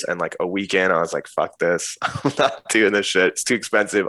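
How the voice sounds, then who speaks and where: A man with an American accent speaks in a very clean recording with a silent background. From US, northern New Jersey. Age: 30s. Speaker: music producer and DJ. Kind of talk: casual chat.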